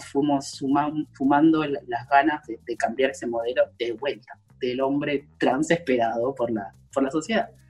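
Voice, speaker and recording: Over noticeable background noise, a man talks at a fairly slow pace in a fairly high pitch with fairly even intonation. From Argentina, Córdoba. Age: 20s. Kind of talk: interview.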